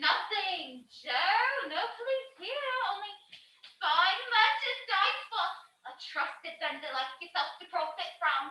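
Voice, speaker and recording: Cackling in a put-on character voice, a woman speaks at a fairly slow pace in an extremely high pitch with very wide pitch swings and slight echo. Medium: stage play. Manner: cackling, laughing constantly.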